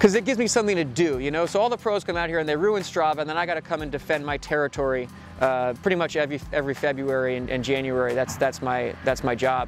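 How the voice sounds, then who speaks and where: Over music in the background, a man talks at a very fast pace with hardly any pauses and lively intonation, the sound dry with no echo. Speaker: cyclist vlogger. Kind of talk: casual vlog chat. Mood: playful, joking. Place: street.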